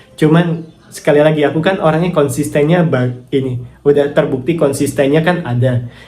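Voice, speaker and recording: A man talks fairly quickly with fairly even intonation and very even loudness, amid noticeable background noise and audible room echo. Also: fairly high pitch for a man. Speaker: affiliate marketer and YouTuber. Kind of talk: casual vlog answering viewer comments.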